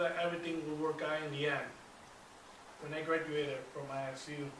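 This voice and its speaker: With audible room echo and noticeable background noise, a man in an American accent talks at a moderate pace with a fairly high pitch. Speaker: public speaking club member. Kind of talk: prepared speech. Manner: halting, with repetitions.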